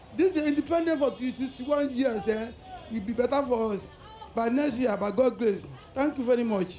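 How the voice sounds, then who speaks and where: Against noticeable background noise, a man with an extremely high pitch speaks at a moderate pace with ordinary pitch variation. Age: old. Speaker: street interviewee. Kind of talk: vox pop interview. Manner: halting, repeats words.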